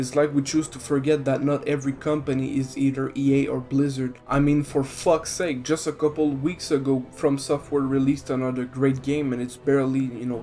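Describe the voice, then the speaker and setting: A man's fairly high, monotone voice at a fairly quick pace with flat intonation and hardly any pauses, music in the background. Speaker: gaming video essayist. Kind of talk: video essay rant.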